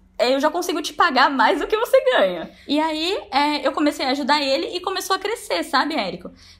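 Over noticeable background noise, the voice moves at a fairly quick pace with hardly any pauses. Its pitch swings very widely. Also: woman, extremely high pitch for a woman. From Brazil, Braúna (São Paulo interior). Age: 20s. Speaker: online course entrepreneur. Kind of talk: testimony.

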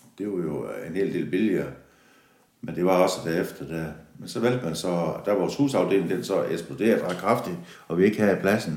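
Audible room echo surrounds a man with a very deep, low voice who speaks at a moderate pace with ordinary pitch variation. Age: 60s. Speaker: factory yard worker. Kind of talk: interview. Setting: factory. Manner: halting.

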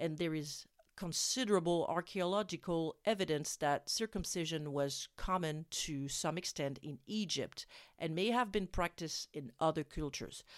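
Recorded dry and close with no echo, a woman speaks with a French accent at a moderate pace and a fairly low pitch. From France. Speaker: parenting podcast host. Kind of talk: scripted narration. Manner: halting.

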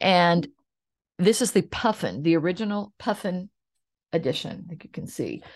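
In an American accent, a woman with a warm tone and medium pitch speaks at a moderate pace, somewhat breathy, with ordinary pitch variation, big swings in loudness, long and frequent pauses, and a quiet background. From Oklahoma, US. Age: 60s. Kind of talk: solo podcast monologue. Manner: warm, conversational.

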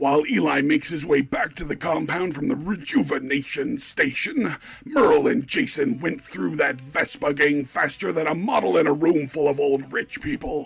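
A man uses a put-on character voice with a fairly high pitch and lively intonation. He keeps a moderate pace with hardly any pauses. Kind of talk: game-show announcer. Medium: actual play. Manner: hyped, brash, joking.

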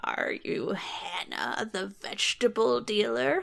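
Someone speaks fairly slowly in a put-on character voice. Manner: unpleasant.

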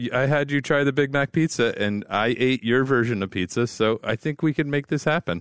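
In an ordinary speaking voice, a man talks at a fairly quick pace with medium pitch, ordinary pitch variation, very even loudness and hardly any pauses, the sound dry and close with no echo over a quiet background. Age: 40s. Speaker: podcast co-host. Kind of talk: casual chat.

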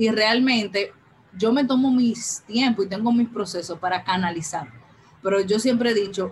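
There is noticeable background noise behind a woman's voice. She talks fairly slowly with ordinary pitch variation. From Dominican Republic, Santo Domingo. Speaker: breast cancer survivor. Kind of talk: interview testimony.

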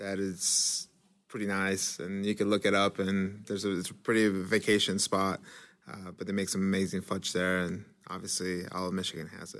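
Recorded very cleanly against a silent background, a man talks at a moderate pace in a fairly low pitch with monotone, flat intonation. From Mexico. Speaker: business school student. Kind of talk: casual round-table chat.

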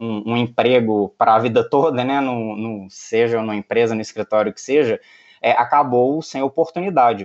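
A man talks fairly slowly, and his pitch varies in an ordinary way. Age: 30s. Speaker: lawyer and tech entrepreneur. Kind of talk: interview. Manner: hesitant, many fillers.

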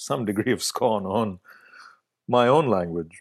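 A man with an Indian accent speaks at a fairly slow pace in a very clean recording with a silent background and a dry, close sound with no echo. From Bangalore, south India. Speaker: festival artistic director and curator. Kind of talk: interview conversation. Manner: hesitant, many filler words.

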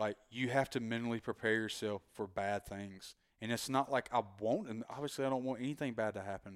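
A man with a strong Southern US accent speaks at a medium pitch and a fairly quick pace. His intonation is fairly even, and the recording is very clean with a silent background. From North Carolina. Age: 30s. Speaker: graphic artist. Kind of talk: casual chat.

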